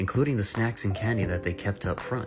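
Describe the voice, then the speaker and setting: Music plays in the background as a man speaks. His pace is fairly quick and his intonation fairly even. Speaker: voiceover artist. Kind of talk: comedic review reading. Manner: breaking into laughter.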